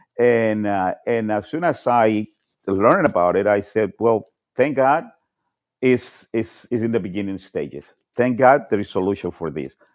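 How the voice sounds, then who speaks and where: With a Spanish accent, a man speaks at a fairly low pitch and a moderate pace. His intonation is lively against a quiet background. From Colombia. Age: 60s. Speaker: panel participant. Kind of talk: casual chat. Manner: halting.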